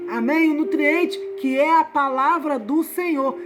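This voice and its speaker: With music playing behind her, a woman speaks at a very slow pace with ordinary pitch variation. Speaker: evangelical Bible teacher. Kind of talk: Bible study teaching.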